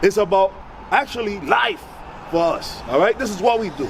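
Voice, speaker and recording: A man with an animated tone talks at a moderate speed while noticeable background noise carries on. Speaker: street preacher. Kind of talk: street debate with passerby.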